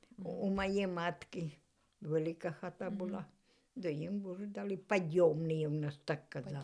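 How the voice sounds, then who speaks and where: A woman speaks at a fairly slow pace in a dark, mellow tone, her pitch fairly low with ordinary variation. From Chernihiv region, Ukraine (flooded village by the Dnieper). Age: old. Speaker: village elder, former collective farm worker. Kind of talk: interview answer.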